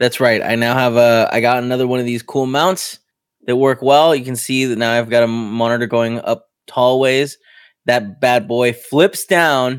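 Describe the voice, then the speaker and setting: Medium-pitched male speech with a Spanish accent, fairly even intonation and a moderate pace, in a very clean recording with a silent background. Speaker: tech podcast co-host. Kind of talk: casual chat. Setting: studio.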